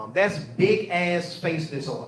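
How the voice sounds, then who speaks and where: There is audible room echo and noticeable background noise. A man speaks in an animated tone. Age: 40s. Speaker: stand-up comedian. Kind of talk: stand-up. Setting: stage with audience.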